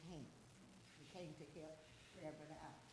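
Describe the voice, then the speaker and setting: A woman's voice with audible room echo. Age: 70s. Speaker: resident giving public comment. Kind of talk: public comment.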